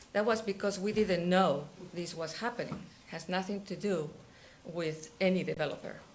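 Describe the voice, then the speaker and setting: A woman with a non-native accent speaks at a moderate pace and medium pitch with ordinary pitch variation, and the room echo is audible. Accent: foreign. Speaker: resident speaking at public comment. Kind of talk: public comment at council meeting.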